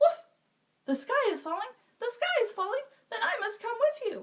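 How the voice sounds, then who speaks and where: A woman puts on a squeaky character voice pitched extremely high. She keeps a moderate pace. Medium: read story.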